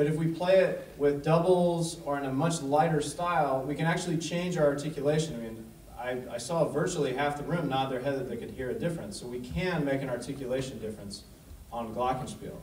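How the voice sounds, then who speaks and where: Talking at a fairly quick pace with hardly any pauses, a man uses ordinary pitch variation, with audible room echo and light background noise. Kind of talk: lecture. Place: hall.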